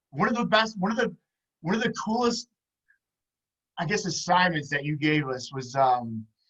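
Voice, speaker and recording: With an American accent, a man speaks loudly at a moderate pace in a high voice, his pitch swinging very widely, with long, frequent pauses. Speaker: podcast host and PE teacher. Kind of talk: casual chat.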